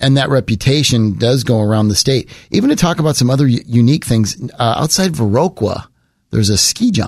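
Fairly quick, somewhat breathy delivery at a very even loudness. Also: man, medium pitch for a man, lively intonation. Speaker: podcast host. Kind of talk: casual interview.

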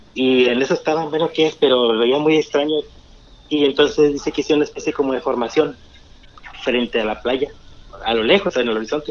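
A man with a fairly high pitch talks at a fairly quick pace with ordinary pitch variation. He leaves long, frequent pauses, and noticeable background noise can be heard. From Tampico, Mexico. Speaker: caller. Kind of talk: storytelling. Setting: phone call.

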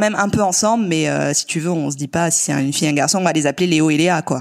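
Very fast in pace, a woman's fairly low voice moves with ordinary pitch variation. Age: 30s. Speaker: nurse and mother. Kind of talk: casual chat. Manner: hesitant, many fillers.

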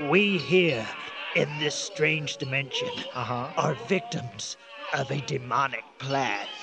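A put-on character voice speaks at a very slow pace against clear background noise. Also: man, fairly high pitch for a man. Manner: formal, solemn, grave.

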